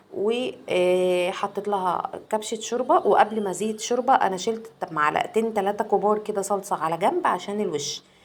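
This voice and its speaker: With an Egyptian accent, a woman speaks at medium pitch and a moderate pace, using ordinary pitch variation and hardly any pauses. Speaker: cooking vlogger. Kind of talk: cooking tutorial. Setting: home kitchen.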